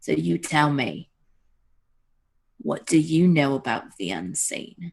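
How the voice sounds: This is a put-on character voice with vocal fry and a slightly husky edge. It moves slowly and makes big pitch swings.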